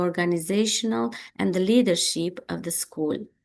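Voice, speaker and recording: A woman with a Romanian accent, medium pitch and lively intonation, at a moderate pace over a quiet background. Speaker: education researcher. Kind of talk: lecture. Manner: halting, many fillers.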